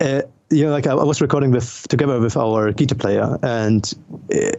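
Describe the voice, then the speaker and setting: A man with a German accent, at a fairly quick pace, with very even loudness and ordinary pitch variation. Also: medium pitch for a man. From Germany. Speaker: metal vocalist and record label owner. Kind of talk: casual chat. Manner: halting, many fillers.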